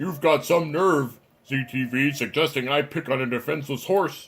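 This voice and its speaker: Fairly even intonation runs through this put-on character voice. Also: man, fairly high pitch for a man, moderate pace. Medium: solo performance. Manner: taunting, smug.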